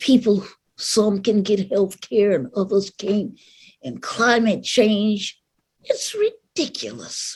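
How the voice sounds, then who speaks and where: Very slowly, a woman speaks with an American accent and vocal fry. Her pitch variation is ordinary. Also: medium pitch for a woman. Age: 80s+. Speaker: civil rights activist. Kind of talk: speech to live audience.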